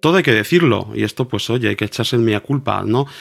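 Lively intonation and vocal fry mark this man's medium-pitched voice. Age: 40s. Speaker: cathedral organist and music teacher. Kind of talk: casual interview. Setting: video call.

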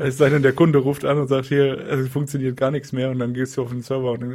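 A man talks at a very fast pace at a medium pitch, his intonation monotone and flat. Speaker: software developer podcast co-host. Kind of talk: casual tech chat.

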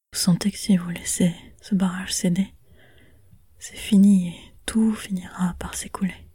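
Long, frequent pauses punctuate speech that moves at a fairly slow pace. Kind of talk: scripted narration. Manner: dramatic, immersive second-person storytelling.

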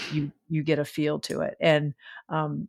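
A woman with a very deep, low pitch and a Southern US accent. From US South. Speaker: stand-up comedian. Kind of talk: casual chat.

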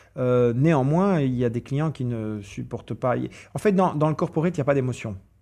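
At a moderate pace, a man talks at medium pitch with lively intonation. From Brussels, Belgium. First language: English (speaking French). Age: 40s. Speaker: event organizer. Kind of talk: interview. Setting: hotel recording. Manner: halting, repeats words.

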